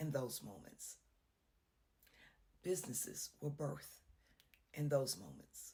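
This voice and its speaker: The speaker is a woman. Her voice has vocal fry. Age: 60s. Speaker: inspirational speaker. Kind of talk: devotional encouragement talk.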